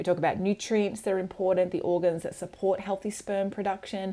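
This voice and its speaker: Here a woman speaks at a medium pitch. Her tone is dark and mellow. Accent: Australian. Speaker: podcast host and women's cycle health educator. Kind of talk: scripted intro and casual interview chat.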